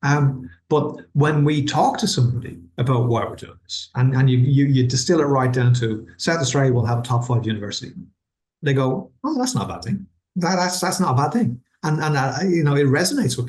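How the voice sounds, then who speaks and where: A fairly high-pitched, somewhat breathy male voice with an Irish accent, fairly quick pace and ordinary pitch variation. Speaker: university vice-chancellor. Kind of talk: webinar interview. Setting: online webinar. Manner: halting, many repetitions.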